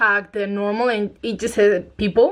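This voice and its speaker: Speaking at a moderate pace, a woman has a non-native accent. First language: not English. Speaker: book youtuber. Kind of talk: casual chat. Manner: casual, many fillers.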